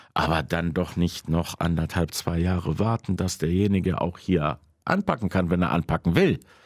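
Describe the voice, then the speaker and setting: Here a man speaks in a very deep, low pitch at a moderate pace, with fairly even intonation. His loudness stays very even against a quiet background. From Krefeld, Lower Rhine, Germany (moved from Poland at five); Germany. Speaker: jazz club owner; podcast guest. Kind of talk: casual chat. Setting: studio. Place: studio.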